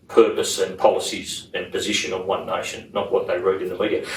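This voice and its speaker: With audible room echo, a man talks in an Australian accent. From Sydney, Australia. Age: 60s. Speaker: politician. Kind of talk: interview. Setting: parliament house.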